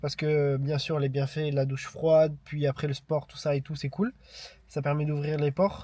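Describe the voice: Fairly high in pitch, a man speaks with fairly even intonation and a dark, mellow tone. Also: moderate pace.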